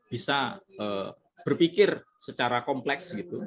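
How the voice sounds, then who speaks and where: This is a man speaking. His intonation is lively. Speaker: lecturer presenting at a teacher workshop. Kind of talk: workshop Q&A discussion.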